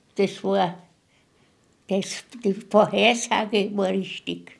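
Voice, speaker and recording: Her medium-pitched voice carries vocal fry, and the woman speaks in a monotone, flat way. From Moravia. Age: 80s+. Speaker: contemporary witness. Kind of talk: interview. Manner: halting.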